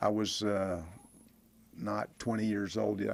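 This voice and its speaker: In a Texan accent, a man with a fairly low pitch talks at a moderate pace with monotone, flat intonation. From Texas (Bonham). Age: 70s. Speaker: former pro football player. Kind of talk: interview.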